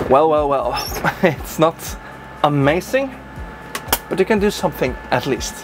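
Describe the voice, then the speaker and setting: A man talks at an average speed while clearly audible noise carries on in the background. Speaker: bus reviewer and YouTuber. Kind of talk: vlog-style test drive presentation. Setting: inside a bus.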